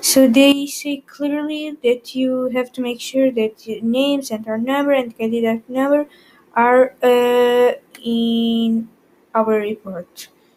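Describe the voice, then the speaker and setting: This woman talks at a very slow pace with fairly even intonation. Her pitch is high. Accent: non-native. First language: not English. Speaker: ICT tutor, YouTuber. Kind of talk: tutorial. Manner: halting, many fillers.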